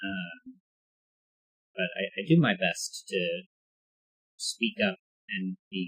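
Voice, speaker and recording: Mumbling, a man speaks with big swings in loudness and long, frequent pauses. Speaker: puzzle game streamer. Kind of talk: casual livestream chat. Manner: halting, many fillers and repeats.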